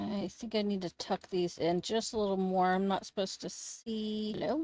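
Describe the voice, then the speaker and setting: A woman speaks quietly at a moderate pace, with a medium pitch, a dark, mellow tone and fairly even intonation. The recording is dry and close, with no echo. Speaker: Sims gaming YouTuber. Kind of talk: casual gameplay commentary.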